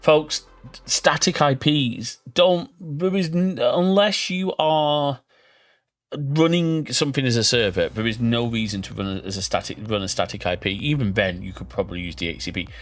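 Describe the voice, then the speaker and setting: In a strong Northern English accent, a man with a fairly high pitch talks at a moderate pace, his pitch swinging very widely and his loudness rising and falling sharply, on a very clean recording with a silent background. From northern England. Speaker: gaming streamer. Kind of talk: live stream chat. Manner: casual, chatty.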